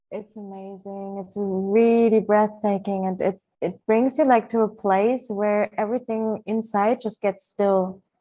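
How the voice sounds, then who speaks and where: A woman speaks at a fairly slow pace with hardly any pauses, her fairly high voice dark and mellow in tone yet monotone and flat in intonation. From Ukraine, raised largely in Germany. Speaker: podcast host, spiritual coach. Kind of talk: interview conversation.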